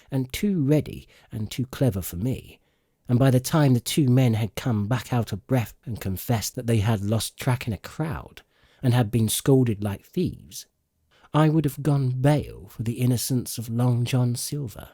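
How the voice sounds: Dark, mellow tone with a slightly husky edge, a man at medium pitch, fairly slow pace and lively intonation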